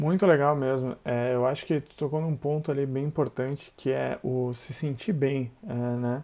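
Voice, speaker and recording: Speaking at a moderate pace, a man has a fairly high pitch, ordinary pitch variation and an unremarkable speaking voice. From Santa Catarina, Brazil. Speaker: podcast host. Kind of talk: casual interview.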